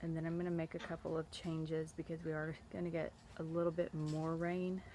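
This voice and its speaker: At a fairly quick pace, a woman talks in a fairly low pitch. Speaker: homesteader vlogger. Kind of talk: casual vlog narration. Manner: halting.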